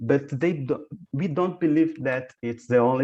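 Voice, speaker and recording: A man with a Brazilian accent talks at a fairly slow pace in a dark, mellow tone. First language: Portuguese. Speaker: professor and researcher. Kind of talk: conference Q&A. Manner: halting.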